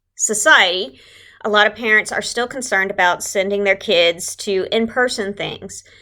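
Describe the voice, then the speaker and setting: The tone is bright and sharp, with a Texas accent and ordinary pitch variation. The recording is very clean against a silent background. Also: woman. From Southeast Texas. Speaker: religious education leader. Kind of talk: tutorial. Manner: casual, conversational.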